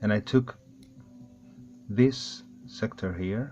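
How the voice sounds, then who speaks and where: A man with a non-native accent speaks very slowly at a fairly low pitch. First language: not English. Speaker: airsoft hobbyist. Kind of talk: tutorial. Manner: halting.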